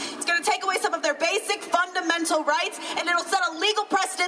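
A woman with an American accent talks at a very fast pace in an extremely high pitch, using a raised, projected voice. Her intonation is fairly even, and music plays in the background. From US South (Florida/Alabama). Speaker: activist organizer. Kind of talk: rally speech. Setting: outdoor rally.

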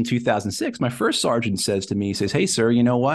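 Against a quiet background, a man with an American accent and an ordinary speaking voice talks fairly quickly at a medium pitch. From New Jersey / New York area. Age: 40s. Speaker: Marine veteran and antiwar advocate. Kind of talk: interview conversation.

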